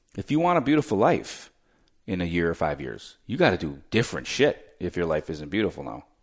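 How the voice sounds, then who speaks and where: On a very clean recording with a silent background, a man with a very deep, low voice and vocal fry makes very wide pitch swings. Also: fairly quick pace. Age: 30s. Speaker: podcast host and real estate entrepreneur. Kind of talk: casual chat. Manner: animated.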